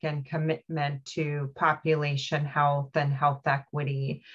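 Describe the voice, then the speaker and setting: Her voice is very deep and low, with monotone, flat intonation. The woman talks at a very slow pace against a quiet background. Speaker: regional health organization representative. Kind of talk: public board meeting. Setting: video call. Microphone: video call.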